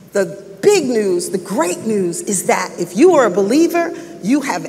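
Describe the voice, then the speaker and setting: A woman's voice with very wide pitch swings at a fairly slow pace. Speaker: preacher. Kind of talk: sermon. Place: church.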